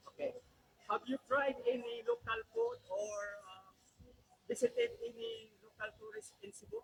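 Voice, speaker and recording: With a Filipino accent, the speaker goes at a moderate pace and leaves long, frequent pauses. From Philippines. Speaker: travel vlogger. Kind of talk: street interview.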